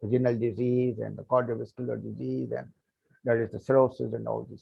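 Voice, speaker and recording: A man speaking at a moderate pace. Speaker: medical lecturer. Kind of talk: lecture. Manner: hesitant, with many fillers.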